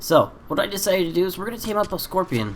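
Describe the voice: A man talks at a fast pace. His high pitch makes big swings.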